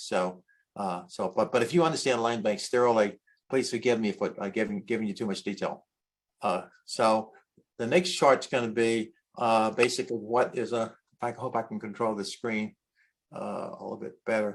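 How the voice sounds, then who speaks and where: Over a quiet background, a man speaks at medium pitch with fairly even intonation. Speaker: land bank board representative. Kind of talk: presentation. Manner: fast; halting.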